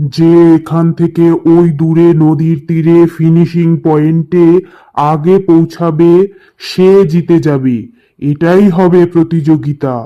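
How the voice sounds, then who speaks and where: A cartoonish character voice at a middle pitch. The pace is very slow. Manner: authoritative.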